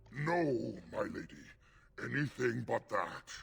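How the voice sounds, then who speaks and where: Growling, a man speaks in a put-on character voice. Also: fairly slow pace. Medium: video game.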